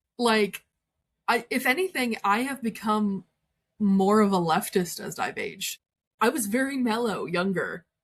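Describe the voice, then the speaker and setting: A woman speaks at a fairly slow pace in a somewhat breathy voice, her pitch fairly high. Her tone is animated, with ordinary pitch variation. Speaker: witch. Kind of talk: casual podcast chat.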